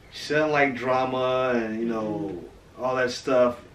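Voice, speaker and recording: Man with an American accent, fairly slow pace, audible room echo and light background noise. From St. Louis, Missouri; Missouri. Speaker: family vlogger. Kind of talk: casual family interview. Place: home room. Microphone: camera far.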